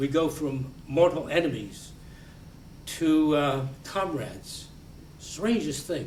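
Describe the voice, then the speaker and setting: Speaking with an American accent at a very slow pace with long, frequent pauses, a man with a fairly high pitch and ordinary pitch variation is heard in audible room echo. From United States. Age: 90s. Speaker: war veteran and Holocaust educator. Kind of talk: lecture. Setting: library talk with audience. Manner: halting, repeats words.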